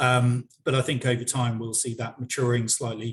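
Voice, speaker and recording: A man's somewhat breathy, medium-pitched voice, monotone and flat, at a moderate pace. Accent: British. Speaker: software company director. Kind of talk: webinar interview. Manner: halting, many repetitions.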